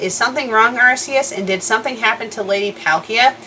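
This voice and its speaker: A female-sounding put-on character voice, fairly high in pitch and at a very fast pace, with clear background noise. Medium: solo performance. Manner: polite, sweet.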